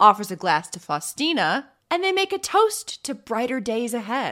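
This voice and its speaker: On a very clean recording with a silent background, a woman speaks at a fairly slow pace in a high voice. Her tone is dramatic, bright and sharp. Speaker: true crime podcaster. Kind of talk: true-crime narration, storytelling with casual asides. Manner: animated, conversational; dramatic, gasping at grisly turns.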